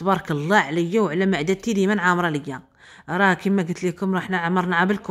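With a Moroccan accent, a woman speaks in an animated tone at a fairly quick pace on a very clean recording with a silent background. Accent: Moroccan Arabic (Darija). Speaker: vlogger. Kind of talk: casual vlog monologue. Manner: spontaneous, animated.

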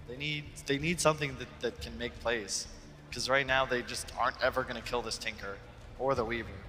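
A man talks at a fairly quick pace in a medium pitch. His is an unremarkable speaking voice. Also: ordinary pitch variation. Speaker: esports analyst. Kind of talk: desk analysis chat.

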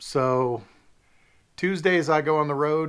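A man's speech, with ordinary pitch variation, sits over a quiet background. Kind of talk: casual vlog chat. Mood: friendly, lightly joking. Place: office.

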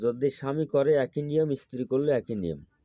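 A plain, everyday voice from a man, medium in pitch. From Bangladesh, Khulna. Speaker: folk healer. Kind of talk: tutorial.

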